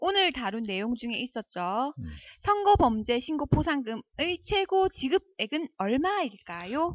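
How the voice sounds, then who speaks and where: A woman's high-pitched voice at a very slow pace, full of very wide pitch swings. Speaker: co-host. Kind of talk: casual chat.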